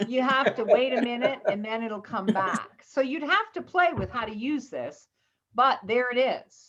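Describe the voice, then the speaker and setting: The speaker talks in a Southern US accent at a fairly slow pace with lively intonation. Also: woman, high pitch for a woman. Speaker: computer class teacher. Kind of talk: tutorial.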